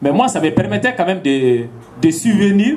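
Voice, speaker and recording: A man's high-pitched voice at a very slow pace. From Mali. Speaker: farmer and activist. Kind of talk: public talk.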